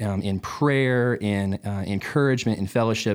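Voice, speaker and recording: A man with a plain, everyday voice, a medium pitch, fairly even intonation and a fairly slow pace, in a very clean recording with a silent background. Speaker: worship pastor. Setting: studio.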